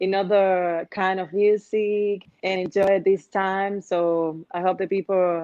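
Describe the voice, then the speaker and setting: A woman with a Dominican accent, dark, mellow tone and fairly even intonation. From Dominican Republic. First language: Spanish. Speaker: urban music singer. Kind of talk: interview. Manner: halting.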